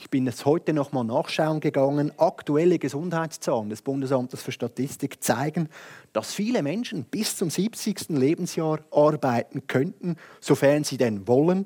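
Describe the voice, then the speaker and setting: In a very clean recording with a silent background and a dry, close sound with no echo, a man with a dark, mellow tone and fairly high pitch speaks at a moderate pace with lively intonation and big swings in loudness. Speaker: lawyer and youth party president. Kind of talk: prepared speech. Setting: stage with audience.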